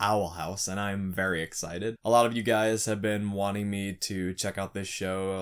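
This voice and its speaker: A normal speaking voice from a man, fairly low in pitch with fairly even intonation, over a quiet background. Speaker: reaction video creator. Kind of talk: casual vlog chat. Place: home room.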